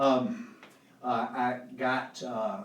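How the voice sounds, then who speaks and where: Very wide pitch swings from a man with a Southern US accent, plus audible room echo and noticeable background noise. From Alabama. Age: 60s. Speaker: singer-songwriter. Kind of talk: casual chat. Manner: halting.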